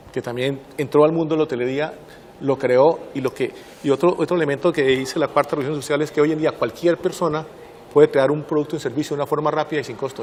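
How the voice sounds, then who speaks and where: In a Santander Colombian accent, a man speaks very fast at a fairly high pitch with monotone, flat intonation over noticeable background noise. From Colombia, Santander. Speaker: systems engineer, distinguished alumnus. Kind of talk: interview.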